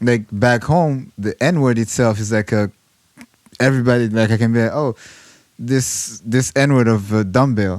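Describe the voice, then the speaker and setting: Speaking with a French accent, a man talks at a fairly slow pace and a medium pitch. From Rwanda. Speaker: musician. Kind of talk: casual chat.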